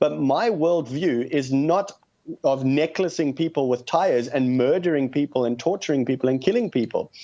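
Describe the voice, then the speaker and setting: Speaking at a moderate pace, a man with a South African accent has a fairly high pitch and a dark, mellow tone. His loudness stays very even, and his pitch varies in an ordinary way. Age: 30s. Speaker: activist. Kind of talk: radio call-in interview.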